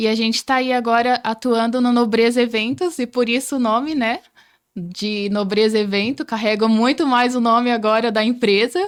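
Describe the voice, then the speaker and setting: A woman with a plain, everyday voice speaks at a moderate pace and a fairly high pitch, with ordinary pitch variation and very even loudness. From Rondônia, Brazil. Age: 20s. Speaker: entrepreneur, podcast guest. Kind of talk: interview.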